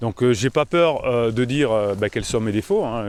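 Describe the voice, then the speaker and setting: This man talks at a moderate pace and medium pitch with ordinary pitch variation. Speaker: relationship coach. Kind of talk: vlog monologue. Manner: hesitant, many fillers.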